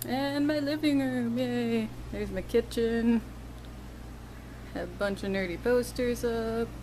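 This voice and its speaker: A woman with an American accent, fairly slow pace, long, frequent pauses and audible room echo. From US Midwest, Wisconsin. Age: 20s. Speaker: video blogger. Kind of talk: casual Q&A vlog. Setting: at home. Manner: casual, hesitant with many fillers.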